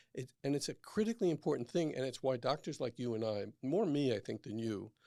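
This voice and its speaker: The recording is very clean, with a silent background. A man talks at a fairly quick pace with a New York accent. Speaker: physician. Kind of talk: casual chat. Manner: fast; animated.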